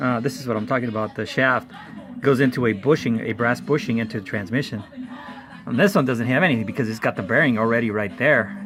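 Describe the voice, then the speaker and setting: A man with a non-native accent at a very fast pace and medium pitch, over noticeable background noise. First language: not English. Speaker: car hobbyist youtuber. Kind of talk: tutorial. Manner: casual, rambling with fillers.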